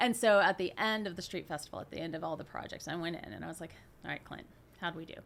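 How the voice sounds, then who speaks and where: A woman with an American accent, a fairly low pitch, vocal fry, ordinary pitch variation, and a very fast pace. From Oklahoma, US. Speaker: nonprofit director, urbanism advocate. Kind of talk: podcast interview. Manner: animated storytelling.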